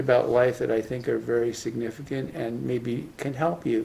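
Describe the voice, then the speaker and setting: A moderate pace and a dark, mellow tone from a man. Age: 80s+. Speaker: retired professor. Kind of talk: talk sharing life lessons. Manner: halting, with fillers.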